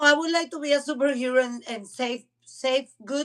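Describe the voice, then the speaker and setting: Pitched high, a woman speaks at a fairly slow pace with ordinary pitch variation. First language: Spanish. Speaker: podcast co-host. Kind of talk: casual chat. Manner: halting, repeats words.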